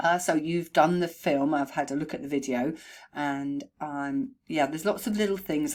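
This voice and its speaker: On a very clean recording with a silent background, a woman speaks at a fairly quick pace in a very deep, low pitch. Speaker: horse trainer and behaviourist. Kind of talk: recorded video feedback to a client. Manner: conversational with fillers. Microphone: new microphone.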